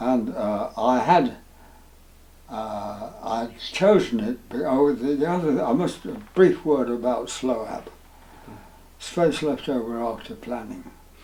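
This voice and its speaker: At a very slow pace with long, frequent pauses, a man talks in a medium pitch and lively intonation. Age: 80s+. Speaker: retired town planning officer. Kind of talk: interview answer. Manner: hesitant, slow.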